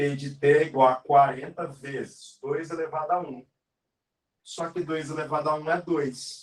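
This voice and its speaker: The clip has a man with a fairly high pitch and an ordinary speaking voice. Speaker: math teacher. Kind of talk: live online lesson.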